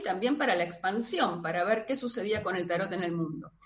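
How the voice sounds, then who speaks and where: A woman speaks in a Rioplatense accent. The room echo is audible. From Buenos Aires, Argentina. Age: 50s. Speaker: tarot reader and astrologer. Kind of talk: interview conversation.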